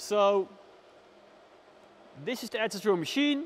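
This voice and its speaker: Speaking at a fairly slow pace, a man uses lively intonation and a high pitch. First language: Dutch. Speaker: woodworker. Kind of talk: product review. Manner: unscripted, hesitant with fillers.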